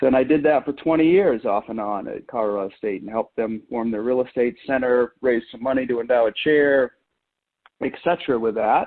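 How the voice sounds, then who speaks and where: An ordinary speaking voice with an American accent, a moderate pace, and ordinary pitch variation. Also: man, medium pitch for a man. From US Northeast, Maine. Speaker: meditation teacher and lecturer. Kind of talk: interview.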